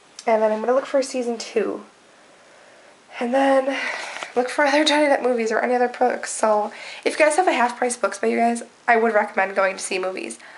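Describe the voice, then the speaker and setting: With noticeable background noise behind her, a woman speaks at a very fast pace and a high pitch, with ordinary pitch variation and long, frequent pauses. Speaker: vlogger. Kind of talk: casual vlog. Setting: at home.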